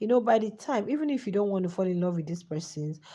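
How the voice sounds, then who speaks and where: Against a quiet background, a woman speaks in a somewhat breathy voice with a dark, mellow tone. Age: adult. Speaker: YouTube host. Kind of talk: live chat commentary. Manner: animated.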